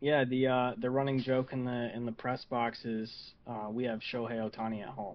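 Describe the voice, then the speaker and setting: With hardly any pauses, a man talks in a medium pitch with monotone, flat intonation. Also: moderate pace. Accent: American. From Michigan, Saginaw. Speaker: baseball team scoreboard assistant. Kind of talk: casual chat.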